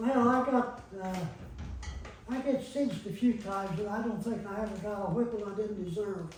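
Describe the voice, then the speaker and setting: There's audible room echo and noticeable background noise as a man speaks at a moderate pace. His voice is high-pitched, with fairly even intonation. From Granville, Ohio, US Midwest. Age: 90s. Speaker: elderly local resident recalling childhood. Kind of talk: oral history interview. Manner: casual, plain-spoken with hesitations.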